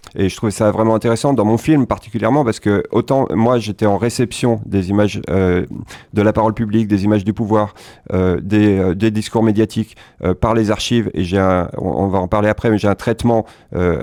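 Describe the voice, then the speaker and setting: On a very clean recording with a silent background, a man with a dark, mellow tone and fairly low pitch talks at a fairly quick pace, keeping fairly even intonation and very even loudness. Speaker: film director. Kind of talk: interview. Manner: fast; halting.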